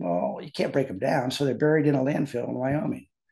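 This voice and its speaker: A man with an American accent talks at a fairly quick pace in a medium pitch, with a dark, mellow tone and vocal fry. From US Midwest. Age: 70s. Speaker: biotechnology professor. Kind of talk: casual chat.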